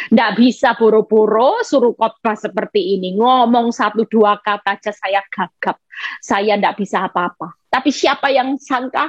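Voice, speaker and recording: A woman speaks in an animated tone with a fairly high pitch, ordinary pitch variation and hardly any pauses, in a dry, close sound with no echo. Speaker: evangelist preacher. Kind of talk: sermon.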